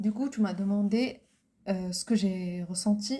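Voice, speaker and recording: A woman's somewhat breathy voice has a dark, mellow tone and monotone, flat intonation. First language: Arabic (speaking French). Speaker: podcast co-host. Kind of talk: casual chat. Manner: halting.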